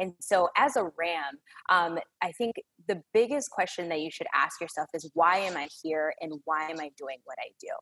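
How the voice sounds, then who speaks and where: A woman with an American accent speaks at a moderate pace and a fairly low pitch, her tone bright and sharp and her intonation lively. Her loudness swings widely, and the sound is dry and close with no echo. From Chicago area. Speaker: retail store manager. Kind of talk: podcast interview.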